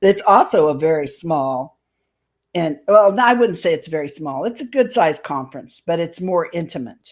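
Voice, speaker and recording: A woman with a Midwestern US accent, fairly low in pitch, with very wide pitch swings and big swings in loudness, on a very clean recording with a silent background. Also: moderate pace. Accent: US Midwest. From Indianapolis, Indiana. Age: 60s. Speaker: paranormal and UFO speaker. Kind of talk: casual interview chat.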